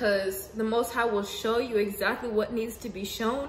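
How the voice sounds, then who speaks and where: Fairly high in pitch, a woman speaks at a fairly slow pace with an animated tone. Audible room echo and noticeable background noise come through. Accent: American. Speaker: spiritual video blogger. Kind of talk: casual monologue.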